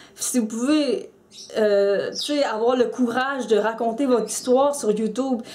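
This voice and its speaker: Against noticeable background noise and audible room echo, the speech moves at a very slow pace with fairly even intonation. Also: woman. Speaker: YouTuber, mental health vlogger. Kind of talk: personal vlog commentary. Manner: halting, many repetitions and fillers.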